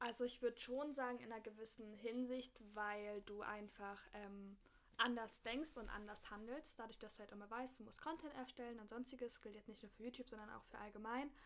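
Her intonation is fairly even. This woman speaks at a fairly quick pace. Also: big swings in loudness. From Berlin. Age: 20s. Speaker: fashion student and blogger. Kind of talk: casual chat.

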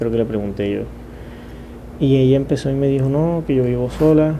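A man's fairly even intonation is heard with audible room echo and noticeable background noise. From Colombia, Caribbean coast (Montería). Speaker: podcaster, university student. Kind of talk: casual solo monologue.

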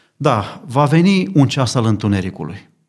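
At a moderate pace, the voice makes very wide pitch swings in a very clean recording with a silent background. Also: man. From Romania, Bucharest. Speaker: lay preacher, church member. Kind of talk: religious discussion on radio. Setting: studio.

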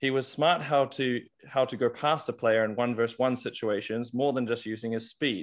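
A man talks with a normal speaking voice at medium pitch. His pace is moderate and his intonation fairly even. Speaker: podcast co-host. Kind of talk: interview.

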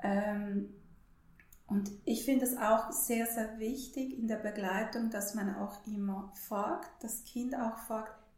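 A woman speaks very slowly at a fairly high pitch with ordinary pitch variation and long, frequent pauses. Audible room echo fills the recording. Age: 40s. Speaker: holistic counselor. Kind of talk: interview.

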